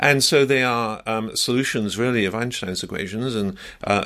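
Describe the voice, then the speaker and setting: With an English accent, a man speaks at a moderate pace and medium pitch, his tone bright and sharp and his intonation fairly even, on a very clean recording with a silent background. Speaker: scientist. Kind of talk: interview. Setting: radio studio.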